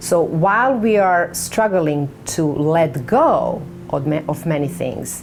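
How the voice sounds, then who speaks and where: A woman in a Serbian accent, very deep and low in pitch, with very wide pitch swings, audible room echo and noticeable background noise. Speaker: author. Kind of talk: book announcement to camera. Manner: halting.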